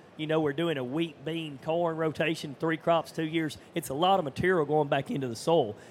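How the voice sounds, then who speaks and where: Speaking at a fairly quick pace with hardly any pauses, a man uses a plain, everyday voice, fairly high in pitch, with fairly even intonation. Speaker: farmer.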